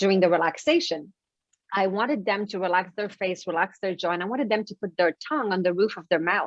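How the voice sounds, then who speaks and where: A woman talks at a very fast pace with a French Canadian accent. Her pitch sits in the medium range. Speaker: author and life coach. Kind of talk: interview.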